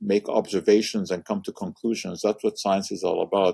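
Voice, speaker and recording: Heard with a dry, close sound with no echo, a man speaks with a Hungarian accent. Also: very clean recording, silent background. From Montreal, Canada (born in Hungary). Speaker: science communicator, chemistry professor. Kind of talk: interview conversation. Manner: hesitant with frequent uh fillers.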